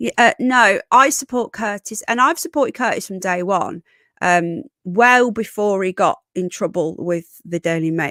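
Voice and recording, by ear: With a dry, close sound and no echo, a woman speaks fairly slowly at a medium pitch, her tone fairly bright and her pitch varying in an ordinary way.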